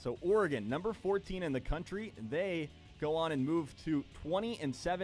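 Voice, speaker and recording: A man with a fairly high pitch speaks at a fairly quick pace with lively intonation. Music plays in the background. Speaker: sports broadcaster, radio play-by-play announcer. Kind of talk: sports desk news update.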